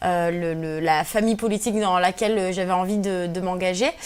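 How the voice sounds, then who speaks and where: Ordinary pitch variation from a woman, her pace moderate. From Algeria (Kabyle), raised in France from early childhood. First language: Berber (Kabyle) (speaking French). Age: 20s. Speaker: feminist activist and blogger. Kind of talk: radio interview. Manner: hesitant, many fillers.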